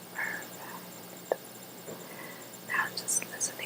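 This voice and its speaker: A woman whispers in a calm tone at a very slow pace, with noticeable background noise behind her. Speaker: ASMR artist playing a therapist. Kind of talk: ASMR therapy role play, guided relaxation. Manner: soft-spoken, calm, slow.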